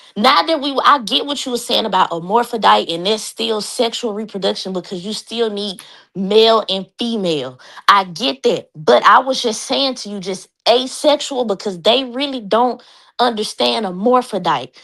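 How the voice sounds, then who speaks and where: Set against a silent background in a very clean recording, the voice has a bright, sharp tone, lively intonation and vocal fry at a moderate pace. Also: woman, fairly high pitch for a woman. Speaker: panel member on live stream. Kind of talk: heated debate. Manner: soft-spoken.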